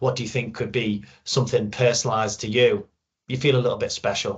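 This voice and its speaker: Speaking at a fairly quick pace, a man with a Liverpool accent sounds somewhat breathy. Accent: Liverpool (Scouse). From Liverpool, northwest England. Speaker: sales channel manager, product data expert. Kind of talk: webinar presentation. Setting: recorded webinar.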